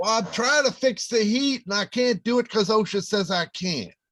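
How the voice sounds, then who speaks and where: A man puts on a gruff character voice at a high pitch. The recording is very clean, the background silent, and the pace moderate. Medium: stage play. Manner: gruff, complaining.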